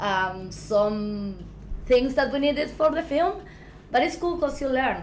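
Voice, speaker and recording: With an Argentine accent, a woman speaks at a high pitch and a fairly slow pace, her voice making very wide pitch swings amid audible room echo. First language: Spanish. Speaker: filmmaker. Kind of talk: interview. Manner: halting, many fillers.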